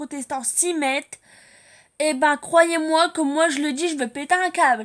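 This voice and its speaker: At a very slow pace, a woman speaks at a high pitch with fairly even intonation. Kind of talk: religious exhortation to viewers. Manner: loud when angry; unscripted, halting with fillers.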